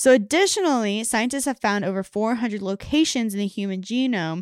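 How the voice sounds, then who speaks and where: Dry and close with no echo, the very clean recording with a silent background carries a woman's fairly high pitch with ordinary pitch variation in a plain, everyday voice. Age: 20s. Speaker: podcast co-host. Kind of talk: casual science chat.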